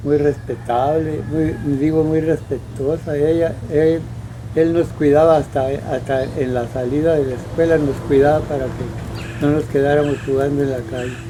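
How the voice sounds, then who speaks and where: Noticeable background noise and audible room echo surround a man speaking at a fairly slow pace. His pitch is fairly high and his intonation fairly even. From Mexico, Sonora (rural Álamos area). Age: 90s. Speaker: elderly local resident recalling town history. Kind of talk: interview testimony. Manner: halting, many repetitions.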